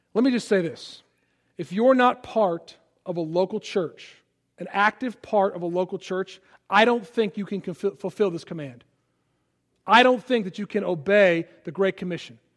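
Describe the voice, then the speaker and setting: High male voice with an American accent, big swings in loudness, ordinary pitch variation and a moderate pace. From US Midwest, Chicago suburbs. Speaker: pastor. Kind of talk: sermon. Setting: church. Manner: halting, many fillers.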